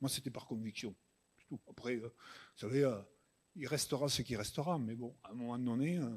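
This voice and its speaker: A man with a plain, everyday voice talks at a moderate pace and medium pitch, with big swings in loudness. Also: ordinary pitch variation. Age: 60s. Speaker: farmer. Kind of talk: panel Q&A answer.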